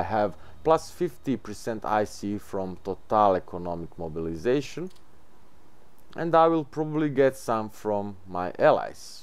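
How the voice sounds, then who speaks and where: With a non-native accent, the speaker talks at a fairly slow pace, the pitch swinging very widely. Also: man, very clean recording, silent background. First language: not English. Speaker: gaming video creator. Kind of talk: gameplay tutorial.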